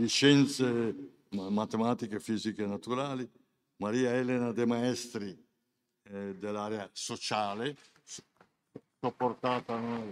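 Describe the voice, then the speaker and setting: Speaking at a very slow pace, a man leaves long, frequent pauses. His medium-pitched voice has fairly even intonation. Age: 70s. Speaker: senior university program president. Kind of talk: ceremony speech. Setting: hall with live audience. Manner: halting, repeating words.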